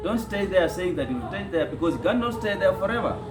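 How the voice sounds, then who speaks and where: With music playing behind him, a man speaks in a high voice whose pitch swings very widely. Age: 50s. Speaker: interview panelist. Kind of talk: interview.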